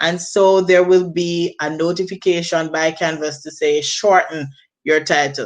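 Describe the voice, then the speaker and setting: A woman with a Jamaican accent talks at a moderate pace, fairly low in pitch and with fairly even intonation. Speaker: teacher. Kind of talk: training presentation. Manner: self-correcting.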